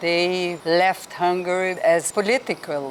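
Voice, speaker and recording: Here a woman speaks at a fairly low pitch and a very slow pace. Noticeable background noise is present. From Brazil, Rio de Janeiro. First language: Hungarian. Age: 70s. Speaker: traveler interviewee. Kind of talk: interview. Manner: halting.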